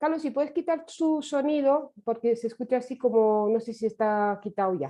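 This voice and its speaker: In a Romanian accent, a woman speaks at a fairly slow pace. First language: Romanian (speaking Spanish). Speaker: survivor activist lecturer. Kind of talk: lecture. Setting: online webinar. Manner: hesitant, many fillers.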